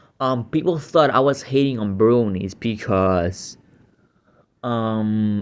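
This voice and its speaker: In a Puerto Rican accent, a man speaks at a medium pitch. His pace is very slow. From Puerto Rico. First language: Spanish. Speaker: YouTube reactor. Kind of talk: reaction commentary. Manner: hesitant, many fillers.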